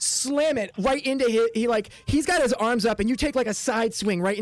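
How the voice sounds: A natural reading voice is heard here, with ordinary pitch variation.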